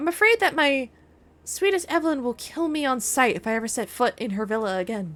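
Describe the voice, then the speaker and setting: A female-sounding voice, put on as a character, is raised and projected at a high pitch and moves at a fairly quick pace. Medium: game stream. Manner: melodramatic, overwrought.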